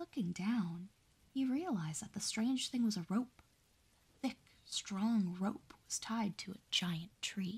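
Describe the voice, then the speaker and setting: With lively intonation, a woman speaks at a fairly high pitch and sounds somewhat breathy. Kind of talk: calm narration of a children's story, bedtime story reading.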